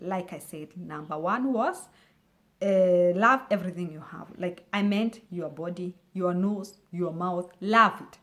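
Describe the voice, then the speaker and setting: A woman speaks at a medium pitch with a non-native accent. Her pace is fairly slow, and her pitch varies an ordinary amount. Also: big swings in loudness. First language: not English. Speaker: YouTuber giving life tips. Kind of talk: motivational talk. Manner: halting, with repetitions.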